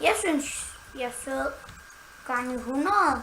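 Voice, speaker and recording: A woman's raised, projected voice in a playful tone, fairly slow, with fairly even intonation and audible room echo. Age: 20s. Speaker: gaming YouTuber. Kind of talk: casual chat.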